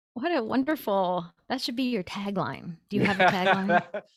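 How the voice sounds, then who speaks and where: A woman with an American accent, very wide pitch swings, and a moderate pace. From US Midwest, Columbus Ohio. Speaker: cross-cultural consultant and author. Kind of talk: casual interview.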